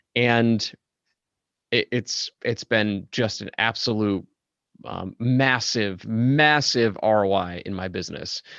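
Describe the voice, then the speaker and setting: Speaking at a very slow pace, a man with a medium pitch and ordinary pitch variation comes through with a dry, close sound with no echo. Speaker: podcast host. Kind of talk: interview. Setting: podcast interview. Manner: commanding.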